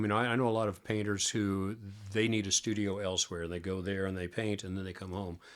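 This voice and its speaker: Speaking very fast with an American accent, a man uses a fairly low pitch and fairly even intonation on a very clean recording with a silent background. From US Midwest, Missouri. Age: 70s. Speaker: rock musician. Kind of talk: casual interview chat. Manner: relaxed, conversational with many fillers.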